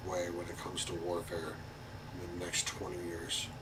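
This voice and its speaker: Both noticeable background noise and audible room echo accompany this man's voice. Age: 30s. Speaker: talk show host. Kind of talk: casual commentary.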